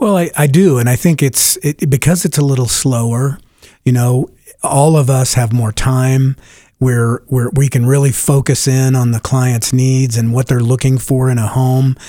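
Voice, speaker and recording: A man with an American accent speaks at a moderate pace in a medium-pitched, dark, mellow voice. His intonation stays fairly even and his loudness very even. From Denver, Colorado. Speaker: real estate agent. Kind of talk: radio interview. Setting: radio studio.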